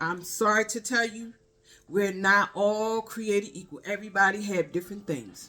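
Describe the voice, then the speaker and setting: Music plays behind a woman with a Baltimore accent who speaks at a moderate pace in a medium pitch with ordinary pitch variation. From Baltimore, US. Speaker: spiritual vlogger. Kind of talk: casual spiritual monologue.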